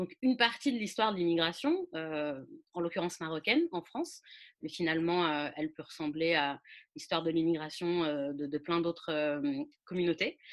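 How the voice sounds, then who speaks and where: A woman with a fairly low pitch and ordinary pitch variation speaks at a moderate pace, leaving long, frequent pauses. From French suburbs. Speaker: podcast host. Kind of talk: interview. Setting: remote recording.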